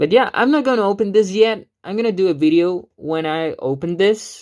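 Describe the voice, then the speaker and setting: Over a quiet background, the talking keeps a moderate pace. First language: Spanish. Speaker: gaming YouTuber. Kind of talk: unboxing vlog. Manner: halting, many fillers.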